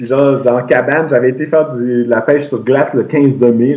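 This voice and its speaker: A man talks very fast in a Quebec accent at a medium pitch. His intonation stays flat and monotone. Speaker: traveler. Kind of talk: casual chat.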